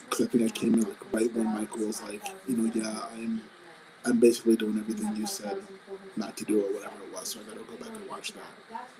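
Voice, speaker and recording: A quiet man at a very fast pace, with big swings in loudness and noticeable background noise. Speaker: business co-host. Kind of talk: live stream talk.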